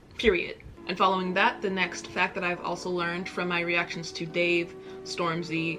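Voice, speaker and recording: With music playing in the background, a woman with an American accent speaks at a moderate pace in a fairly low pitch, her intonation fairly even. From United States. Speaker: YouTube reaction creator. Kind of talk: casual talk to camera.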